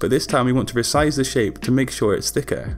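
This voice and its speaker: Over music in the background, a man speaks fairly quickly at a medium pitch. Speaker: graphic design tutor. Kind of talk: software tutorial narration.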